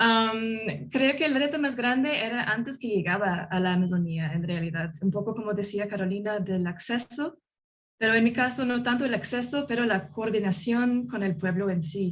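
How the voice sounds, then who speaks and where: A woman's fairly high, somewhat breathy voice moves with lively intonation. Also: moderate pace. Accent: non-native. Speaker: journalist. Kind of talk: panel discussion. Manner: halting, many fillers.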